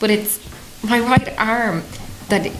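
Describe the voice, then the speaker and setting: Noticeable background noise behind a woman speaking in a fairly high register. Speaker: participant in the castle investigation. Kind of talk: casual chat, describing sensations. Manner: nervous, laughing.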